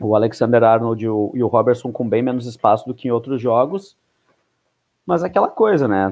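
A man's plain, everyday voice, medium in pitch, at a moderate pace. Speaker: podcast host. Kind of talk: casual chat.

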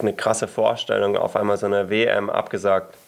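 With noticeable background noise behind him, a man talks at a fairly slow pace. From Germany. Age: 20s. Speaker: podcast co-host and cross-country racer. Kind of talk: interview.

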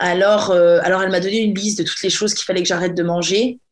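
A woman speaks in an ordinary speaking voice at medium pitch, her intonation fairly even. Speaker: podcast host. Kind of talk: casual chat.

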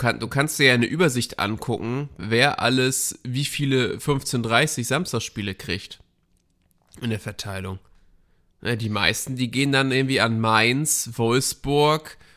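This man talks at a very slow pace. His tone is bright and sharp. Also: very clean recording, silent background. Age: 30s. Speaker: podcast co-host. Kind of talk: casual chat.

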